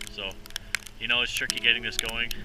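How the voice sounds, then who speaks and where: A man is heard over loud background noise, and the sound is dry with no echo. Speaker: outdoor show host. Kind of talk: casual vlog chat. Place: forest. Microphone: phone near.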